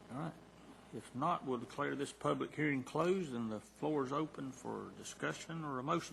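Speaking with a Southern accent, a man with a fairly high pitch keeps a moderate pace and ordinary pitch variation. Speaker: county board chairman. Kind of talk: chairing a public meeting. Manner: formal.

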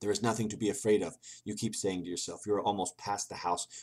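Intonation stays fairly even in this natural reading voice.

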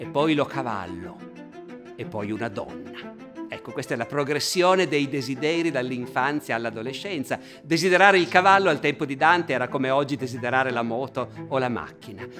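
With clear music behind him, a man talks fairly fast. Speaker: presenter. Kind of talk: lecture. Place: hall.

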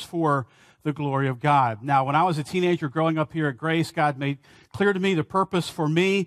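Fairly quick speech with ordinary pitch variation against a quiet background. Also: man. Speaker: pastor. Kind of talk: sermon. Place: church.

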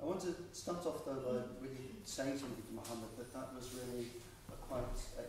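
The speech moves at a fairly quick pace. There is strong room echo and noticeable background noise. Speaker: professor chairing Q&A. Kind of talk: post-screening Q&A. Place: hall. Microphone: camera far.

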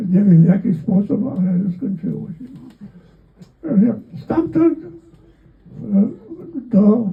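This man's pitch is high. He speaks at a very slow pace. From Volhynia, interwar Poland. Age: 80s+. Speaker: World War II veteran. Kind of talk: interview answer.

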